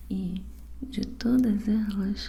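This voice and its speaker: A woman whispers in a soft-spoken way. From Brazil. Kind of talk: ASMR book reading, bedtime story. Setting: binaural ASMR recording. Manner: soft-spoken, whispering.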